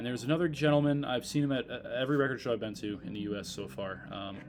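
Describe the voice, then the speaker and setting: Very fast delivery with lively intonation over music in the background. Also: man. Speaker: record collector vlogger. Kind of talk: casual vlog talk. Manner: hesitant, many fillers. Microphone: laptop mic.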